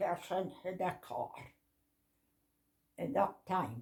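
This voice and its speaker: This is a woman speaking. She has a North East Scottish accent. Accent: North East Scottish, Doric. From North East Scotland. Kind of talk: interview answer.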